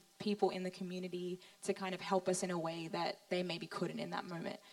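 Through noticeable background noise, a woman with an Australian accent and a medium pitch talks at a fairly quick pace in a monotone, flat intonation. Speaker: young mother, pastor's daughter-in-law. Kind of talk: panel testimony in church service.

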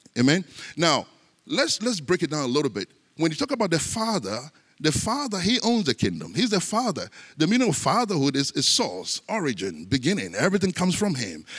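On a very clean recording with a silent background, a man talks at a fairly quick pace in a high pitch, his voice making very wide pitch swings. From Ghana. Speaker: pastor. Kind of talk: sermon.

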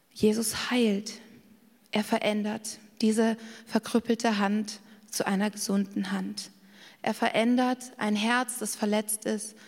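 At a very slow pace with long, frequent pauses, a woman speaks in a fairly high, somewhat breathy voice with monotone, flat intonation. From Bavaria, Garmisch-Partenkirchen. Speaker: preacher. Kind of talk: sermon.

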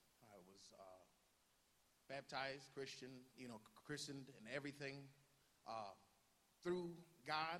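Male voice in an American accent, fairly high in pitch, with lively intonation, big swings in loudness, a moderate pace, long, frequent pauses, and audible room echo. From northeast Ohio, US. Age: young. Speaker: youth pastor. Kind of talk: personal testimony. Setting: church service with congregation. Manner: halting.

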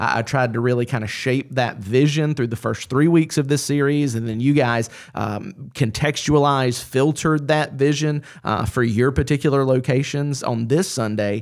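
A man with a Southern US accent speaks at a moderate pace and medium pitch, with ordinary pitch variation. The recording is very clean, with a silent background. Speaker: pastor. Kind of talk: roundtable discussion.

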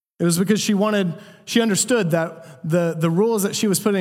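Audible room echo surrounds a man with a high pitch. His pitch variation is ordinary. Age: 20s. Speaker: pastor. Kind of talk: sermon.

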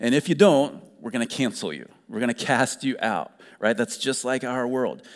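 His speed is moderate. The man's pitch sits at a medium level. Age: 40s. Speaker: pastor. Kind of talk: sermon.

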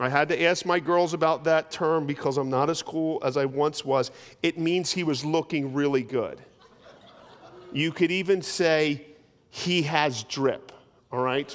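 Using fairly even intonation, a man with an unremarkable speaking voice and a fairly high pitch speaks at a fairly slow pace. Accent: American. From US, South Jersey. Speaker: pastor. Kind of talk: sermon. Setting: church. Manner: conversational, humorous asides.

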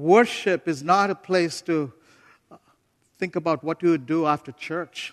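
A non-native accent, with long, frequent pauses. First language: not English. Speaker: visiting preacher, missionary leader. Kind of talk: sermon. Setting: church pulpit with congregation, also streamed online. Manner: animated.

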